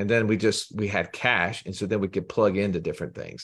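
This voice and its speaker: A man with an Alabama accent, fairly low-pitched and very fast. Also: quiet background. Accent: Southern US (Alabama). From US South, Birmingham, Alabama. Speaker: financial educator, company co-founder. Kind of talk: podcast interview.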